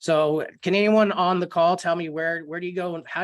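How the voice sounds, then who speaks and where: Fairly even intonation from a man speaking at a fairly quick pace. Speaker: real estate software trainer. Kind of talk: online training webinar. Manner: fast.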